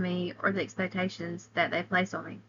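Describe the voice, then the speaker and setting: Speaking in a Southern US accent, a woman has a bright, sharp tone, medium pitch, and a moderate pace. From US South, Alabama. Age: 30s. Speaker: college student. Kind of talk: class presentation.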